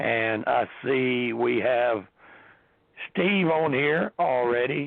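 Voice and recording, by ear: Speaking slowly, a man with a medium pitch shows vocal fry and ordinary pitch variation.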